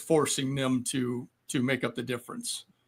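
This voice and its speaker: A man speaks with music in the background. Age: 60s. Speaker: Marine Corps reservist veteran. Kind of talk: casual chat. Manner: halting.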